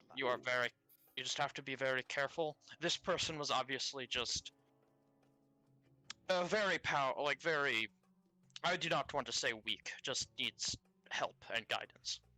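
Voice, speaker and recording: A put-on character voice speaks at a moderate pace and a low-to-middle pitch, with long, frequent pauses. Music plays in the background. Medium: actual play. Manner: formal, avoids contractions, earnest.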